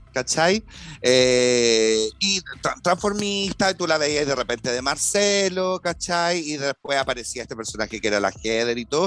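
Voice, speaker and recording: A man with a fairly high voice talks at a fairly slow pace, his pitch swinging very widely. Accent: Chilean. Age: 40s. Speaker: actor and TV host. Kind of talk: casual chat.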